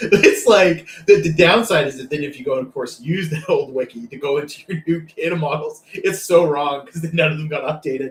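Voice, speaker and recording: A man with a slight Canadian accent speaks at a fairly quick pace in a fairly high voice, his pitch varying in an ordinary way. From Canada. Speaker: data professional and co-host. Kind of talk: casual chat.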